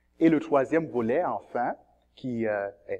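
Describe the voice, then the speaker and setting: A man speaks at a fairly slow pace in a plain, everyday voice with ordinary pitch variation, recorded dry and close with no echo against a quiet background. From Cameroon. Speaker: seminarian, theology student. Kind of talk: testimony.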